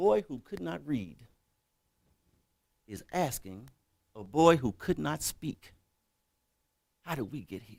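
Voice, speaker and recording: With an American accent, a man speaks very slowly at medium pitch, with vocal fry and long, frequent pauses. His pitch swings very widely and his loudness varies a lot. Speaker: keynote speaker. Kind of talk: motivational speech.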